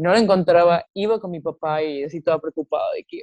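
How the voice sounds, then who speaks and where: Speaking at a fairly quick pace, a woman with an unremarkable speaking voice keeps a fairly low pitch and fairly even intonation. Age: 20s. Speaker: TikTok creator and babysitter. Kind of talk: casual chat.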